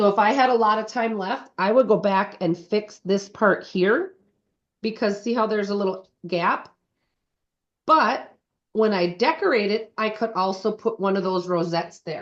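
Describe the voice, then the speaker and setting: A woman speaks at a moderate pace in a normal speaking voice, her pitch fairly high. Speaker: cake decorating instructor. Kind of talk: tutorial.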